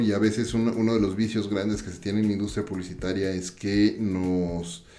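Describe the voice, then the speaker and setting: Fairly low male speech, ordinary in pitch variation, within audible room echo. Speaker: podcast host. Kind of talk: interview.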